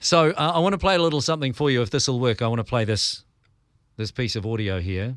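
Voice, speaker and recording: Over a silent background in a very clean recording, a man with a New Zealand accent talks very fast at a medium pitch, his intonation lively. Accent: Kiwi. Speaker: radio host and podcast host. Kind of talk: podcast interview.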